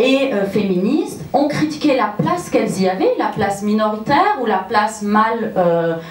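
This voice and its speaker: A woman with a fairly high pitch talks at a moderate pace with ordinary pitch variation, amid audible room echo and noticeable background noise. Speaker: sociology researcher. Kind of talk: conference talk. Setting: conference with audience. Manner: hesitant, many fillers.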